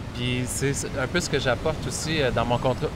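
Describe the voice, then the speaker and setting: With a Quebec accent, a man talks at a moderate pace and medium pitch, with ordinary pitch variation over noticeable background noise. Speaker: writer and filmmaker. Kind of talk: interview. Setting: on location in Bali.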